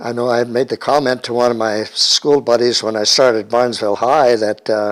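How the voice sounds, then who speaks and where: With an American accent, a man talks at a fairly quick pace in a medium pitch and a flat, monotone delivery. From Germans from Russia family, US Great Plains (Colorado, Nebraska, Minnesota). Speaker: oral history interviewee. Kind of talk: oral history interview. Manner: halting, many fillers and restarts.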